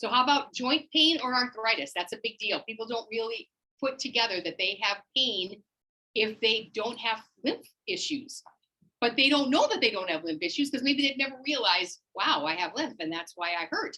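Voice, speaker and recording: A woman's high, bright, sharp voice swings very widely in pitch. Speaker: wellness class instructor. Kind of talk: live class teaching. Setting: in-person class also on Zoom. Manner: fast; animated.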